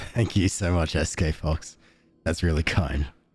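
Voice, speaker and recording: Over music in the background, a man speaks in a calm, soothing tone at a very deep, low pitch. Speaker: streamer.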